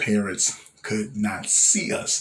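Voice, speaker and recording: This is a man speaking. His pitch is fairly low. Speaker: rapper and local artist. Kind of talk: casual vlog monologue. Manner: halting, many fillers.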